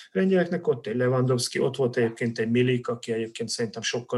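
Here is a man with a normal speaking voice at a medium pitch. He talks at a fairly quick pace. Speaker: football-loving Polish studies expert. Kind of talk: casual chat.

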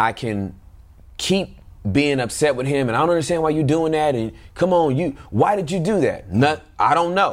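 This man speaks at a moderate pace in an ordinary speaking voice. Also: fairly high pitch for a man, lively intonation. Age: 40s. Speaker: parent guest. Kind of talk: casual chat.

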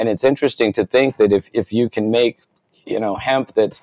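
Speaking with an American accent at a moderate pace, a man has an unremarkable speaking voice and fairly even intonation, the sound dry and close with no echo. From Rhode Island, US. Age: 50s. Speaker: cannabis activist, author. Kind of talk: interview.

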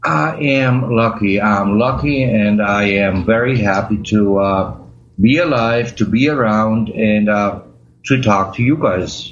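A man speaks very slowly with a German accent, his fairly low pitch moving in an ordinary way and his loudness staying very even. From Germany. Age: 50s. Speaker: chronic pain patient. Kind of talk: interview. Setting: remote call. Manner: halting.

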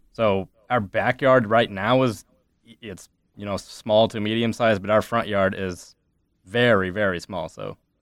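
Using a normal speaking voice, a man talks in a fairly low pitch with fairly even intonation and big swings in loudness. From US Midwest, Ames, Iowa. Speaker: litigant, nonprofit network assistant director. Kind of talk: casual chat.

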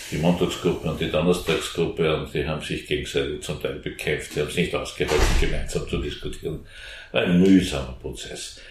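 A man at a moderate pace, with audible room echo. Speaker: former member of parliament, Green politician. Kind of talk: interview. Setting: back room of a coffee house.

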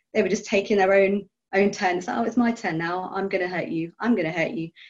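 An ordinary speaking voice comes through, its pitch varying in an ordinary way. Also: woman. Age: 30s. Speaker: biologist and arthritis patient. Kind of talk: casual group chat.

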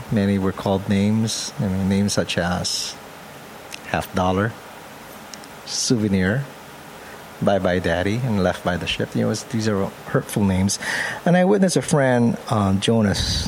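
A man speaks at a fairly slow pace, with long, frequent pauses. His fairly low pitch shows ordinary variation over noticeable background noise. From Philippines (Pampanga). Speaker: photographer. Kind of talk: interview.

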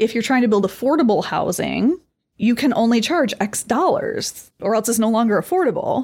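A woman speaks at a moderate pace in a fairly high pitch, with an Upper Midwest accent. Her intonation is lively and her loudness stays very even. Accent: Upper Midwest American. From northern Michigan. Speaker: lawyer. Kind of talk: interview.

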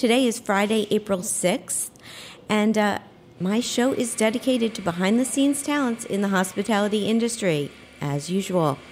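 At a moderate pace, a woman talks in a fairly high pitch with ordinary pitch variation and very even loudness. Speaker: podcast host. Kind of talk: live radio interview. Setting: live broadcast at a hotel. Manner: energetic.

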